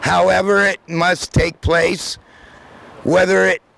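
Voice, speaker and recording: Noticeable background noise fills the clip. The speaker is a man. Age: 50s. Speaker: public commenter at community forum. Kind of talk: public comment speech.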